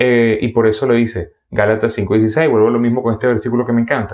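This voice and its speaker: The speaker has a Venezuelan accent. The background is quiet. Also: man. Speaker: preacher. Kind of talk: sermon. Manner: fast.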